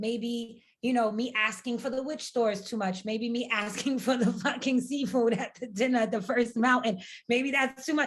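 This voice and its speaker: A woman speaks loudly at a moderate pace, her high-pitched voice animated in tone. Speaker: podcast co-host. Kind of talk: casual chat.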